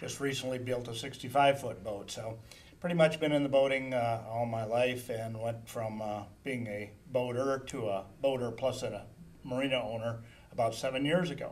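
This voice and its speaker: In a room with audible echo, a man with an Upper Midwest US accent talks at a moderate pace, medium in pitch and with fairly even intonation. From southern Minnesota. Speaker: marina owner. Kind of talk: interview answers.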